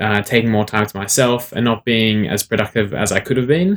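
A man speaks with an Australian accent in a medium pitch, using fairly even intonation. The recording is very clean, with a silent background. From Sydney, Australia. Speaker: author and motivational speaker. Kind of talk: interview.

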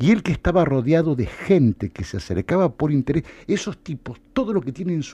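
The voice has a dark, mellow tone and moves at a fairly quick pace over a quiet background. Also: man. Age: 50s. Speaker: political figure and former campaign adviser. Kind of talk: radio interview. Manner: halting.

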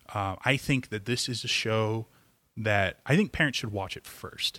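A man's bright, sharp voice in a very clean recording, dry and close, with a silent background and no echo. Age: 30s. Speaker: comic book shop owner. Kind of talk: casual chat. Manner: animated.

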